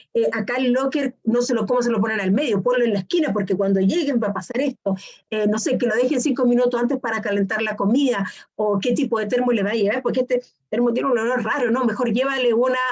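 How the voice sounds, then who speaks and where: A woman's high-pitched voice at a very fast pace, with ordinary pitch variation and very even loudness. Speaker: lecturer on neurodevelopment. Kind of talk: lecture.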